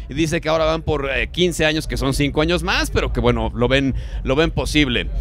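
Very fast speech from a man, dry with no echo, with light background noise. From Mexico. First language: Spanish. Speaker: radio host. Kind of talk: live radio interview with Spanish interpretation. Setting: live radio broadcast at a festival. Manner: halting in English, many fillers. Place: booth. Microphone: handheld.

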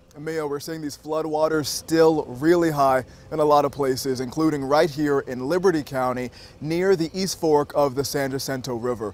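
Moderate pace and fairly even intonation, dry with no echo. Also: man. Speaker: TV news reporter. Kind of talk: news stand-up report. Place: waterside.

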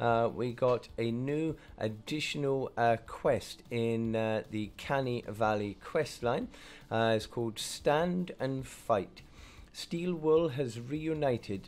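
Faint music plays in the background while a man speaks at a very slow pace. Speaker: gaming streamer. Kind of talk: gaming commentary. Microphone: headset.

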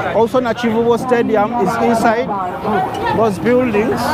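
Crowd noise fills the background while the voice moves at a moderate pace in a dry sound with no echo. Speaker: travel vlogger. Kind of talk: casual vlog chat. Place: street. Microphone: phone near.

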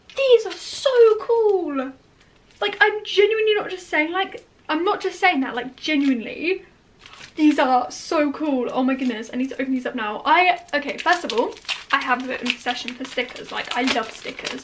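Over light background noise, a woman with a high pitch speaks at a moderate pace, her pitch swinging very widely. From England. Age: young. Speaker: vlogger. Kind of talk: vlog. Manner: animated. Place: home room. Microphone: phone near.

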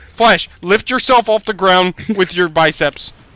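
A man's high voice, clear and smooth yet bright and sharp in tone, at a fairly slow pace with ordinary pitch variation.

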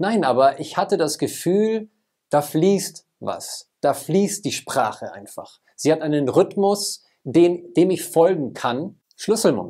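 A man with a high pitch and a dark, mellow tone talks at a very slow pace. His intonation is lively, and the background is quiet. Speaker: communication trainer. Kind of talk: personal vlog. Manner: fluent, occasional slight stutter.

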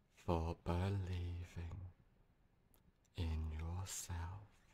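A man's very deep, low voice, somewhat breathy, dark and mellow, monotone and flat at a very slow pace, with light background noise. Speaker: hypnotherapist, meditation guide. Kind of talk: guided hypnosis meditation. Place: home room.

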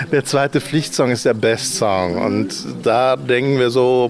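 A man at a medium pitch and fairly slow pace, dry sound with no echo, light background noise. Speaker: living room concert host. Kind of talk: casual interview. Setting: livestream from a living room. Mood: friendly, relaxed. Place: garden. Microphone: handheld.

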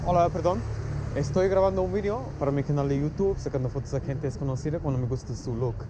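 Over noticeable background noise, a man speaks very fast at a fairly high pitch with lively intonation, in a dry sound with no echo. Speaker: YouTube street photographer. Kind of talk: casual vlog, directing photo subjects. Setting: outdoors on city streets. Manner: animated, encouraging. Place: street. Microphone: phone near.

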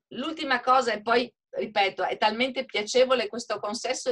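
A woman with a fairly high pitch speaks in an animated, bright, sharp tone with lively intonation. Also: quiet background. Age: 60s. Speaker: hotel owner. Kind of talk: webinar panel discussion. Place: home room. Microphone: video call.

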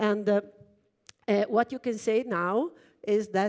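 A woman's very slow speech in an Italian accent, with ordinary pitch variation and a quiet background. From Italy. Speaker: computer engineer and research lab director; keynote speaker. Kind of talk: keynote talk. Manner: halting, many fillers. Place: stage.

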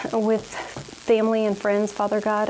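Over light background noise, a woman talks at a moderate pace. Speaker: fitness instructor. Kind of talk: prayer and scripture reading. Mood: earnest, devotional.

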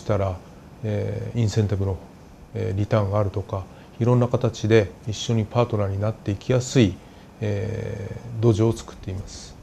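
Over light background noise, a man speaks at a moderate pace in a fairly low, monotone, flat voice, with long, frequent pauses. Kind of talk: interview answer. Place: office. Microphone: lapel.

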